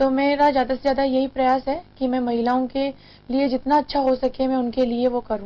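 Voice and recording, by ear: At a fairly quick pace, a woman speaks in a high pitch with little pitch movement.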